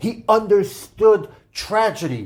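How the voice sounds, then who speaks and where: Speaking with an American accent, a man uses a high pitch. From New York. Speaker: political commentator podcaster. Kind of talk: opinion podcast monologue.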